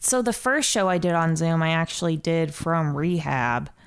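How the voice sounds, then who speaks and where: This woman has a normal speaking voice with an American accent. Her pitch is fairly low. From Ohio, US Midwest. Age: 20s. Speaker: comedian. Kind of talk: casual chat. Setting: studio.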